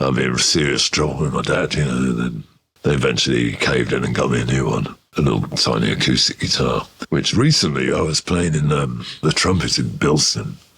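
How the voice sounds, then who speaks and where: A man with a Birmingham accent speaks at a fairly quick pace in a very deep, low voice with ordinary pitch variation over noticeable background noise. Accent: Birmingham (Brummie) English. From Birmingham, England (Ladywood). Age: 70s. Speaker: musician. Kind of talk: interview storytelling. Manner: conversational, with many fillers.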